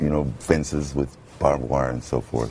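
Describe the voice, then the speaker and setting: A man with an American accent and a very deep, low pitch talks at a fairly quick pace. His intonation is fairly even, with noticeable background noise behind him. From Brooklyn, New York. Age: 50s. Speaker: radio announcer. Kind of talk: TV interview answer.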